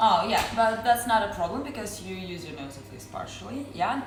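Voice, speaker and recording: A woman with a medium pitch and lively intonation talks at a moderate pace with hardly any pauses, her loudness swinging widely, amid noticeable background noise and audible room echo. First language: Belarusian or Russian. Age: 20s. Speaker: brewery beer consultant. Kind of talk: guided tasting explanation.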